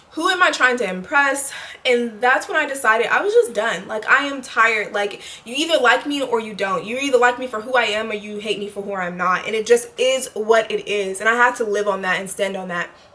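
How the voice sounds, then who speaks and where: Over noticeable background noise, a woman speaks fairly quickly at a fairly high pitch with ordinary pitch variation. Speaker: lifestyle vlogger. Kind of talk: casual monologue to camera. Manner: halting, self-correcting.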